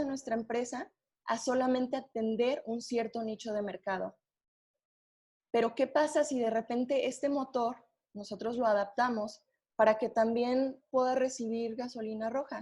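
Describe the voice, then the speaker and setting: In a Mexican accent, a dark, mellow tone comes through at a moderate pace with fairly even intonation. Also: woman. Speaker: webinar presenter. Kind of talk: webinar presentation.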